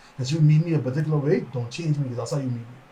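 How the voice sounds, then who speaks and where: A man mumbling in a fairly high pitch. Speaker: podcast co-host. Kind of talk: casual chat. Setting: livestream. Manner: fast, mumbling.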